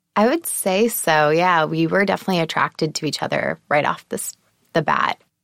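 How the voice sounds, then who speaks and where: A normal speaking voice moves at a fairly quick pace with ordinary pitch variation in a dry, close sound with no echo. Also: woman, fairly low pitch for a woman. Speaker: entrepreneur guest, wife. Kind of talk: casual interview. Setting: studio.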